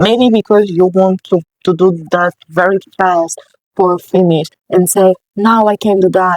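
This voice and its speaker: A woman speaks at a fairly slow pace with a non-native accent, her medium pitch held in a monotone, flat intonation. Her loudness is very even, and the sound is dry and close with no echo. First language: not English. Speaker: book review vlogger. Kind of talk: casual talk to camera. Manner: halting.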